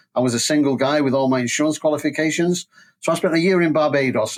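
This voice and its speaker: A man with a Manchester accent talks at a very fast pace, his pitch fairly high and his intonation fairly even. The recording is very clean, with a silent background. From northern England, Manchester. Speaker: school transport safety expert. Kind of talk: interview. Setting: podcast.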